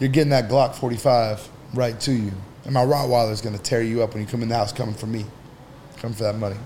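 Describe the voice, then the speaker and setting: A man rattles off his words very quickly while the room echoes audibly around him. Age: 30s. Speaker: entrepreneur. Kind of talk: casual chat.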